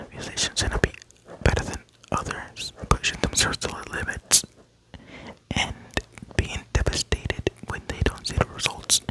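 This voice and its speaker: A man whispers at a moderate pace with long, frequent pauses and big swings in loudness. The sound is dry and close with no echo, over noticeable background noise. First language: not English. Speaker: ASMR creator. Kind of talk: ASMR show-and-tell. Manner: soft-spoken.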